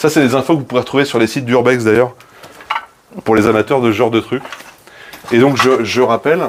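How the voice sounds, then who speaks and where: A man speaks at a fairly quick pace with fairly even intonation and very even loudness, broken by long, frequent pauses. Noticeable background noise runs under his voice. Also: medium pitch for a man. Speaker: streamer. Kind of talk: live stream urbex tour. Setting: abandoned building.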